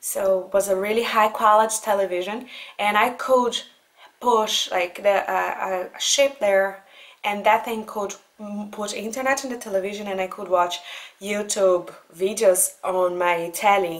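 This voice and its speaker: With a Brazilian accent, a woman speaks at medium pitch and a fairly slow pace. Her intonation stays fairly even. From Brazil (Goiânia). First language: Portuguese. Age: 20s. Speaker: vlogger. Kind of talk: casual talk to camera answering letters.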